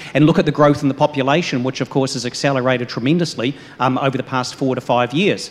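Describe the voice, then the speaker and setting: A man talks very fast with fairly even intonation, and noticeable background noise is audible. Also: medium pitch for a man. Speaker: economist, panelist. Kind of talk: panel discussion. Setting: live event with audience.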